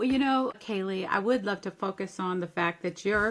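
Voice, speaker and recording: A woman speaks in an ordinary speaking voice. Her pitch is medium, with ordinary pitch variation. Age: 60s. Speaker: life coach and event planner. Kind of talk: podcast interview.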